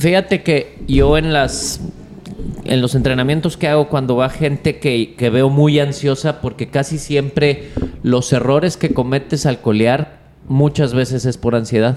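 A man talks at a fairly high pitch and a fairly slow pace with fairly even intonation. His loudness stays very even over noticeable background noise. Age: 40s. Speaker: charro horseman and rope maker. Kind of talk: casual interview chat.

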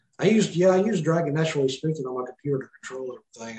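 A man talks in a Mississippi accent with ordinary pitch variation. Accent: Mississippi Southern. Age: 30s. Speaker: quadriplegic former police officer. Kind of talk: casual interview chat.

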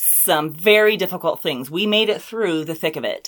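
Lively intonation runs through an unremarkable speaking voice delivered at a moderate pace. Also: woman. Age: 40s. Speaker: podcast host, author and public speaker. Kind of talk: casual chat.

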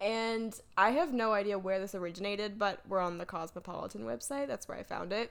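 A woman with an American accent talks at a fairly quick pace in a normal speaking voice, medium in pitch with ordinary pitch variation. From North Carolina. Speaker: podcast co-host. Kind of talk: casual chat.

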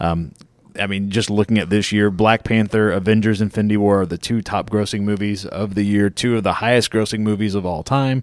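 Over a silent background in a very clean recording, a man speaks with a normal speaking voice, fairly low in pitch, with fairly even intonation. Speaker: movie podcast host. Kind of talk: casual chat, podcast. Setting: studio.

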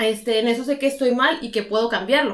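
A woman's ordinary speaking voice, fairly high in pitch, at a moderate pace with fairly even intonation. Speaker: podcast co-host. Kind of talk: casual chat.

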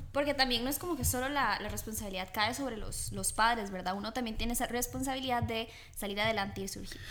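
In a room with audible echo, a woman talks at a very fast pace with vocal fry, a bright, sharp tone, a fairly high pitch and ordinary pitch variation. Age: young. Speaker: host's daughter. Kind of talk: religious family talk.

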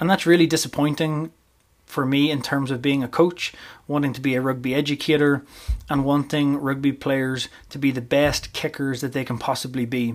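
In a very clean recording with a silent background, a man with a fairly high voice speaks in a Northern Irish accent at a moderate pace, his intonation flat and monotone. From Northern Ireland, County Armagh. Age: 30s. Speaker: rugby coach and podcast host. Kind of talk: solo podcast monologue.

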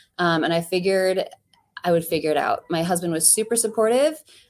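A woman's voice with ordinary pitch variation and a Midwestern American accent, on a very clean recording with a silent background. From US Midwest, Ohio. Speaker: physical therapist and business owner. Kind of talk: interview.

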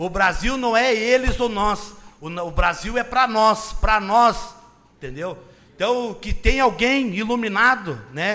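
Raising and projecting his voice, a man speaks at a high pitch and a fairly slow pace. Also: ordinary pitch variation. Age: 30s. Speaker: city councillor and secretary. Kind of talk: political speech in council; reading official documents aloud.

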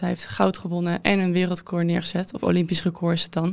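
The recording is very clean, with a silent background. A woman speaks at a fairly low pitch in a monotone, flat intonation. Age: 20s. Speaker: former fencer and student. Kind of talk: interview.

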